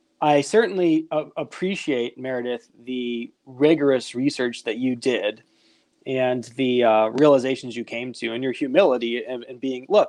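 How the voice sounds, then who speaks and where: Speaking at a moderate pace with an ordinary speaking voice, a man at medium pitch shows big swings in loudness. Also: ordinary pitch variation, quiet background. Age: 30s. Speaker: podcast host. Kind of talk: casual chat.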